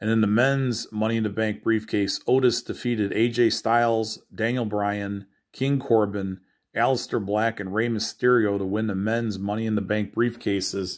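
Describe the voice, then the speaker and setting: The background is quiet as a man speaks at a moderate pace. His fairly low voice stays monotone and flat. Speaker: news presenter. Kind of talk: nightly news-style report on wrestling and comics, read off a rundown. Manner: brisk and matter-of-fact, rattling off results; casual, informal, with small fillers. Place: home room. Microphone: phone near.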